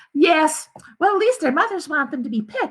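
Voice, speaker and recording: A woman's put-on character voice, squeaky and extremely high, with very wide pitch swings at a fairly quick pace. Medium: read story.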